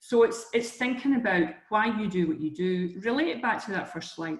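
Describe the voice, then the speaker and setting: Delivered at a fairly quick pace with ordinary pitch variation, this voice carries a strong Scottish accent. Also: woman. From Scotland, Edinburgh. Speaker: career coach. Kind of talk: webinar presentation. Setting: online webinar. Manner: conversational, with fillers and restarts.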